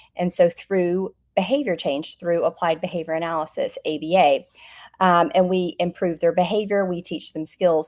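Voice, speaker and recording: A woman speaks at a moderate pace with an Alabama accent. Her voice is fairly low, with ordinary pitch variation. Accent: Southern US (Alabama) accent, retained. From US South, Alabama. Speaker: behaviour analyst, business founder. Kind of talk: interview. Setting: online live stream.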